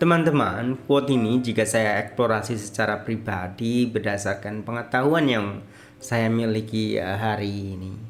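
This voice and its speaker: Noticeable background noise and audible room echo surround a man with a fairly low pitch. He talks at a moderate pace with ordinary pitch variation. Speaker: lecturer sharing reflections. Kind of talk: casual monologue. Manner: halting, many fillers.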